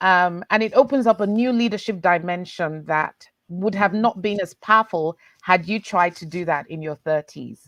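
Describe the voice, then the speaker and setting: A woman talks at a moderate pace in an unremarkable speaking voice, medium in pitch with ordinary pitch variation and big swings in loudness. The sound is dry and close with no echo, over a quiet background. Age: 40s. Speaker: leadership panelist. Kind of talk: panel discussion. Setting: video call.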